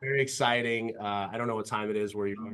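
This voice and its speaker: Speaking very fast with an American accent, a man uses a medium pitch and ordinary pitch variation. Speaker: podcast host, business founder. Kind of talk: interview. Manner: hesitant, filler-heavy.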